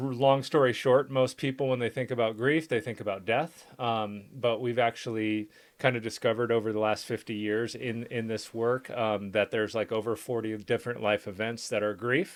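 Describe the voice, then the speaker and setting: A man's medium-pitched voice at a moderate pace, fairly even in intonation with hardly any pauses, on a very clean recording with a silent background. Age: 40s. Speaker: podcast host, business owner. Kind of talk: casual chat. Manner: halting, many fillers.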